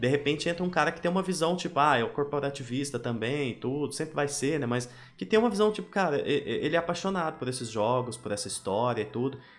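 A man speaks very fast in a fairly high pitch, with lively intonation. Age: 30s. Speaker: podcast host. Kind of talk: casual chat.

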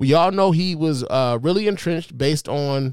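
Animated in tone, a man with an American accent speaks at a fairly high pitch. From Chicago. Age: 40s. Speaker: podcast host. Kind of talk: casual commentary podcast.

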